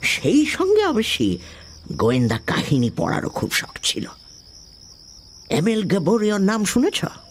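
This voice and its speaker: Over clear background noise, a man puts on a character voice with a high pitch at a moderate pace. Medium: audio drama. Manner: measured, genial, old-fashioned.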